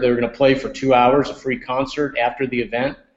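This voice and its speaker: Flat and monotone in intonation, a man with an American accent holds a medium pitch. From upstate New York. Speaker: restaurant chain executive. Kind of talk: podcast interview.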